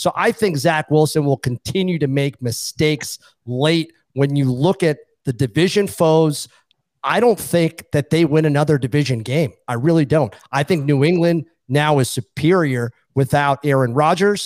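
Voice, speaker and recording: In a normal speaking voice with an American accent, a man talks at a moderate pace and fairly high pitch with ordinary pitch variation, on a very clean recording with a silent background and a dry, close sound with no echo. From Boston. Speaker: sports betting analyst. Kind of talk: casual chat.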